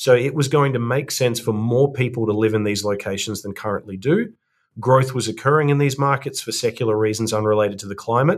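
Someone with an Australian accent talks at a fairly quick pace with ordinary pitch variation against a quiet background. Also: man, medium pitch for a man. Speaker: real estate fund co-founder, climate researcher. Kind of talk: interview.

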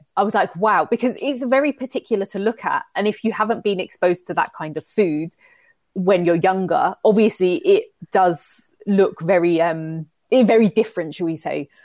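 A woman with a London accent speaks at medium pitch and a moderate pace with lively intonation. The very clean recording has a silent background and a dry, close sound with no echo. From London, England. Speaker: fitness coach and entrepreneur. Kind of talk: casual interview chat.

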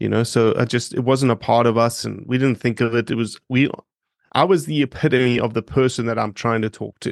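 A man at medium pitch with a South African accent, fairly quick pace and ordinary pitch variation, in a dry, close sound with no echo. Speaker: conservation non-profit director and wetland ecologist. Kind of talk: casual interview.

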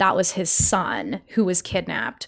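A woman uses an ordinary speaking voice at medium pitch. She talks at a moderate pace in an American accent. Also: very clean recording, silent background. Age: 30s. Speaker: podcast host and writer, guest. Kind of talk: casual interview.

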